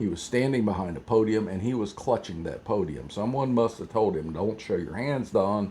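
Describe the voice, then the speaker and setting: With an American accent, a man speaks in a fairly low, dark, mellow tone. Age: 70s. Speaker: political commentator. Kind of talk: rant. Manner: animated.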